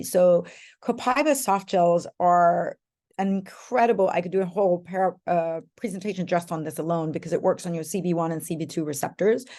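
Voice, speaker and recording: Her voice is dark and mellow in tone. This woman has a fairly low pitch with ordinary pitch variation. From Europe. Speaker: essential oils sales leader. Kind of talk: live online class.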